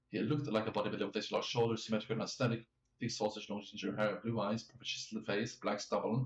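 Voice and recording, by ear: Here a passage is read aloud in a natural voice. The pitch shifts in an ordinary way.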